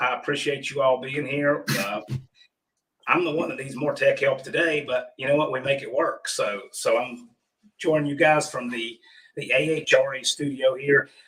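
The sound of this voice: Using a put-on character voice, a man speaks at a fairly high pitch and a moderate pace. The voice is raspy and hoarse.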